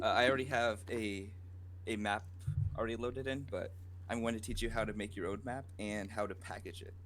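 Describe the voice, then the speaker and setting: A quiet man at a moderate pace, fairly even intonation and audible room echo. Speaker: game modder. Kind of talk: tutorial. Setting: live Twitch stream. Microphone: too quiet, volume turned up.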